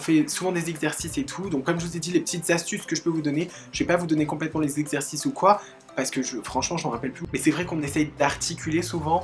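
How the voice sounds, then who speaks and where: Music plays in the background as a woman talks at a very fast pace. Her voice is very deep and low, with ordinary pitch variation. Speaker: YouTuber. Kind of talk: casual talk to camera. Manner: upbeat, chatty.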